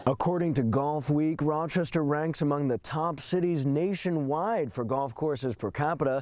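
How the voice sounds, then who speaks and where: With an American accent and an unremarkable speaking voice, a man speaks at a fairly high pitch and a fairly slow pace with ordinary pitch variation. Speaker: multimedia journalist, TV news reporter. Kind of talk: TV news reporter stand-up and package narration. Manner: brisk, on-location live reporting.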